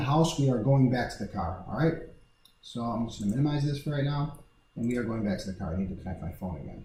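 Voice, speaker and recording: A man with lively intonation is heard amid audible room echo. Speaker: real estate appraiser giving a software tutorial. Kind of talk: tutorial. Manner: fast.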